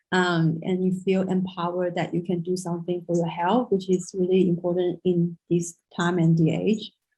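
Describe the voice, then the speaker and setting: A woman speaks at a moderate pace in a fairly low, somewhat breathy voice with a dark, mellow tone, flat monotone intonation and hardly any pauses. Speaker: traditional Chinese medicine practitioner. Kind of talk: lecture. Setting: video call.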